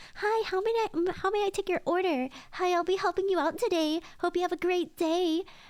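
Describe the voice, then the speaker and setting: A woman puts on a squeaky character voice at an extremely high pitch, talking at a fairly quick pace. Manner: stiff, overly polite, scripted.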